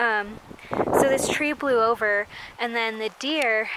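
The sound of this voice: A woman's fairly bright, fairly high voice at a fairly slow pace, with fairly even intonation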